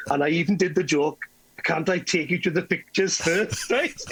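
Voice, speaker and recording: A man with a West Wales accent. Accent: West Welsh English. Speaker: entertainer. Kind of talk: casual chat, storytelling. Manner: animated.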